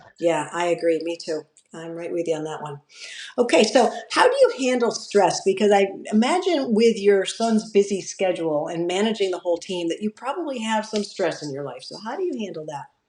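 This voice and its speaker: With an ordinary speaking voice, a woman talks at a medium pitch and a fairly quick pace, her intonation lively and her loudness swinging widely. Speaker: podcast host. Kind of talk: podcast interview questions.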